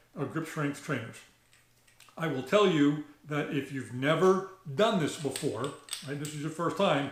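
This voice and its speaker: Audible room echo and noticeable background noise fill the space around a man. He talks at a moderate pace, pitched fairly high, with ordinary pitch variation. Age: 60s. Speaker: shooting channel host. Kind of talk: tutorial. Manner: halting, many fillers.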